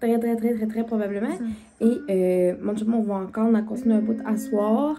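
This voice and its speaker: A woman speaks in a Quebec accent with a fairly high pitch. Noticeable background noise is audible. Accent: Québécois French. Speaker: vlogger. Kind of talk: casual vlog chat. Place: home room. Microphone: phone near.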